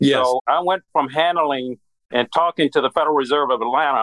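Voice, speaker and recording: A man with an American accent has an ordinary speaking voice. He talks at a fairly quick pace with ordinary pitch variation. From US Midwest. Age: 60s. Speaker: former regulator, credit union strategist. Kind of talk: interview.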